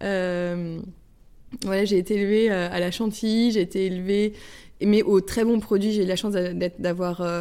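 A woman speaks at a medium pitch in a dark, mellow tone. Her intonation is fairly even, and the recording is very clean with a silent background. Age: 30s. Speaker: pastry chef. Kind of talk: interview.

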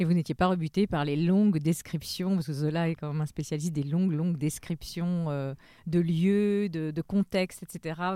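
At a moderate pace, a woman with a fairly low pitch and a dark, mellow tone speaks with fairly even intonation. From half French Caribbean heritage. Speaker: podcast host. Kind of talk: scripted presenting and interview.

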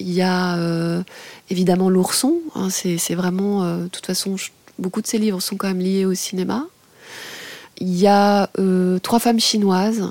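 A woman with a medium pitch delivers her words at a fairly slow pace, her intonation fairly even. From France, Lorraine. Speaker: radio journalist and music critic. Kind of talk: interview testimony. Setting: radio studio.

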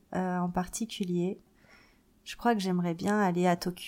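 On a very clean recording with a silent background, a woman speaks at a medium pitch with fairly even intonation and a dark, mellow tone. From Paris, France. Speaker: marketing agency founder. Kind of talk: interview testimony. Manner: hesitant with many fillers.

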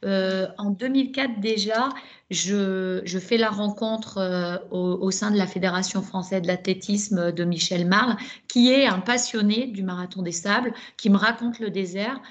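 Using a plain, everyday voice, a woman speaks at a fairly slow pace and medium pitch with fairly even intonation. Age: 50s. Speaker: ultrarunner. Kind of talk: casual chat.

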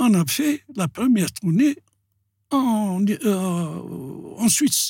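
The man's voice is high in pitch and swings very widely up and down. The recording is very clean with a silent background and sounds dry and close, with no echo. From Algeria, Algiers (Belcourt). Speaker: dancer and choreographer. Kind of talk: interview.

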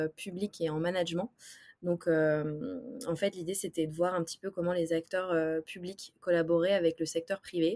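Speaking at a moderate pace, a woman with an unremarkable speaking voice keeps a fairly low pitch and fairly even intonation. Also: dry, close sound with no echo. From Brittany, France (Brest). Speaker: startup ecosystem executive. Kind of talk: interview.

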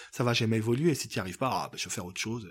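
A somewhat breathy man's voice comes through on a very clean recording with a silent background. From Africa. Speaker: painter. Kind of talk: interview.

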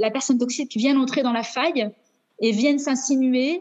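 Fairly even intonation accompanies a fairly quick pace in this talk. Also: woman. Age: 30s. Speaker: teacher sharing divorce experience. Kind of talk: testimony. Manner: halting.

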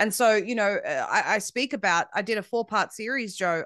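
Against a quiet background, a woman speaks with ordinary pitch variation in a dry, close sound with no echo. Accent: Australian. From Australia. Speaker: independent media founder. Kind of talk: interview conversation.

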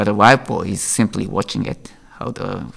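With a Japanese accent and vocal fry, a man speaks at a moderate pace. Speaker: IP lawyer. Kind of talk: interview. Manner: halting.

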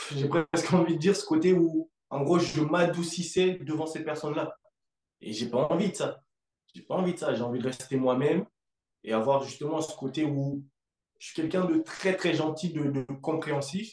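A man talks at a moderate pace in a plain, everyday voice. His pitch is fairly high, with ordinary variation. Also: big swings in loudness. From Africa. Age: 20s. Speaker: fitness coach. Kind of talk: casual chat.

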